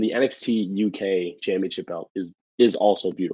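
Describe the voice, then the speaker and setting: Here a man is speaking. He has a New York accent. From New York City, the Bronx. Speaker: pro wrestler. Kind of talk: casual chat.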